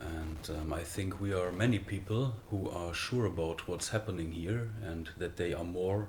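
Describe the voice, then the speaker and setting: A man with a German accent, very deep and low in pitch, at a fairly slow pace with ordinary pitch variation, in audible room echo. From Germany. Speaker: spiritual speaker. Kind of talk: interview conversation. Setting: recorded in the Netherlands. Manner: halting, many fillers.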